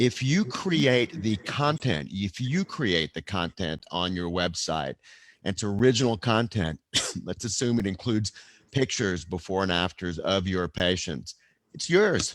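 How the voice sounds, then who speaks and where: A man talks at a fairly slow pace in a fairly low pitch, with lively intonation and an ordinary speaking voice. The sound is dry and close, with no echo. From Texas. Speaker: neurosurgeon and lawyer. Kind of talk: webinar interview.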